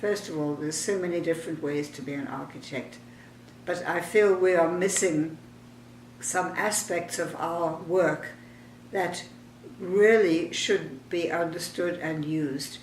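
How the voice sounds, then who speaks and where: A woman speaks at a fairly slow pace in a fairly low pitch, her pitch varying in an ordinary way over noticeable background noise. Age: 80s+. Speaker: architect and urban planner. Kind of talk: personal reminiscence.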